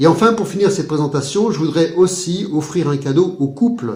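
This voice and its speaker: Somewhat breathy and dark, mellow in tone, a man speaks at a moderate pace with ordinary pitch variation amid audible room echo. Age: 50s. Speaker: hypnotherapist. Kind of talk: sales pitch. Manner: formal.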